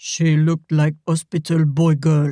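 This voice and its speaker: In a put-on character voice, a man speaks at a moderate pace with fairly high pitch and monotone, flat intonation. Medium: read story. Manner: halting, broken English.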